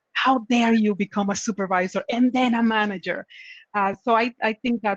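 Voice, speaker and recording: The voice comes with a Spanish accent, in a dry, close sound with no echo. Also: woman. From Dominican Republic. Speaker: tech manager. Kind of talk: panel discussion.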